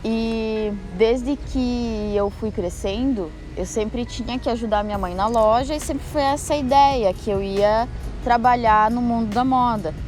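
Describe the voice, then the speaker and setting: Music plays in the background and the room echo is audible. A woman with a fairly high pitch speaks at a fairly slow pace with fairly even intonation. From southern Brazil, western Santa Catarina. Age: 20s. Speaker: muralist. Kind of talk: personal testimony.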